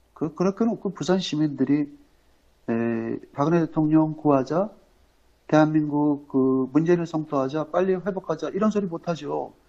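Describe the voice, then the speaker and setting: A man with a fairly high pitch at a moderate pace with ordinary pitch variation. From Korea, Incheon. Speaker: political commentator. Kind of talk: live-stream political commentary. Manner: halting, many fillers.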